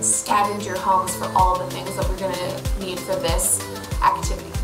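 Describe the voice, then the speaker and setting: A woman speaks with clear music playing in the background. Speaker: art teacher. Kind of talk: tutorial. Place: workshop. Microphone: phone near.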